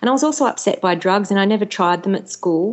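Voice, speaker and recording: The woman talks fairly quickly, with an Australian accent. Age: 40s. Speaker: author and former TV and radio presenter. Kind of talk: casual chat.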